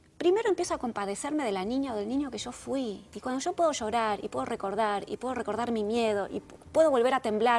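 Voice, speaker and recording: In a Rioplatense accent, a woman with a fairly high pitch talks at a very fast pace with lively intonation and hardly any pauses, over noticeable background noise. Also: big swings in loudness. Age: 60s. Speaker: therapist and author. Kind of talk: interview.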